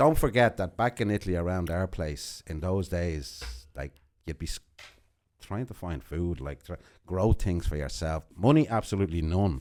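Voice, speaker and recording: On a very clean recording with a silent background, a man with a very deep, low pitch talks at a moderate pace, his intonation lively and his loudness swinging widely. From Uruguay, Montevideo. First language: Spanish. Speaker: podcast guest. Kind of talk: casual interview, life story. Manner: hesitant, with fillers.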